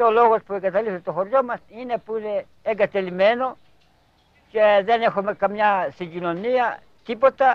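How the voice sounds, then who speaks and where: The speaker has a Cretan accent. Delivery is at a moderate pace with fairly even intonation. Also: man, high pitch for a man. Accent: Cretan Greek. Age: 70s. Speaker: elderly villager. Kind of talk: documentary interview.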